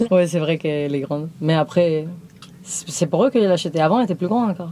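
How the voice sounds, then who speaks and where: Speaking very fast with a Spanish accent, a woman keeps a fairly low pitch and ordinary pitch variation. Noticeable background noise runs underneath. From Spain. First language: Spanish (speaking French). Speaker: van-dwelling nomad. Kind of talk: casual chat. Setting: inside her truck during a home tour.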